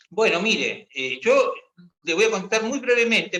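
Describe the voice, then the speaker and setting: A man with a high pitch speaks in a raised, projected voice, bright and sharp in tone, with lively intonation. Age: 60s. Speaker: retired army officer. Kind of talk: discussion workshop. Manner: halting.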